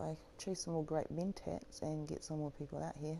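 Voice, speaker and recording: A woman speaks at a moderate pace with a New Zealand accent. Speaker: gaming YouTuber. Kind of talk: gameplay walkthrough commentary. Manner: casual, hesitant with fillers.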